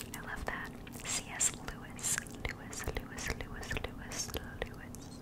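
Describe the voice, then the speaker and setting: A woman is whispering. Her pace is fairly slow. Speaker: podcaster or streamer. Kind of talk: casual chat and reading quotes. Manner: close intimate whisper into microphone. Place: home room. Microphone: studio mic.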